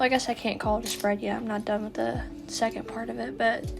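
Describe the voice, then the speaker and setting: A woman's shaky voice comes through over music in the background. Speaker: artist. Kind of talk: casual art voiceover. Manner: hesitant, shaky.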